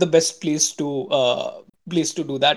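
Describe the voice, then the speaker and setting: The speaker has an Indian accent and keeps a moderate pace. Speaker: podcast host. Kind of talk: casual chat.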